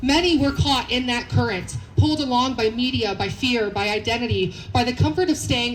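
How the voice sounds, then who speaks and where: A woman shouts loudly at a high pitch with ordinary pitch variation, at a moderate pace with hardly any pauses. Noticeable background noise and audible room echo surround her. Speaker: rally speaker. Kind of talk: protest rally speech. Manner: loud, shouting.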